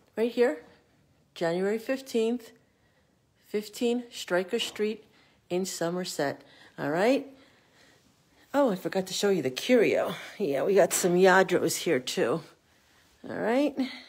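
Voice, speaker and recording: A woman speaks at a very slow pace with long, frequent pauses. Her medium pitch carries lively intonation. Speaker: estate sale seller. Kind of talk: casual promotional walkthrough. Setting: walking through a house, filming a video tour. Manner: informal and chatty, with fillers like 'uh' and 'um'. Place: home room. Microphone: phone near.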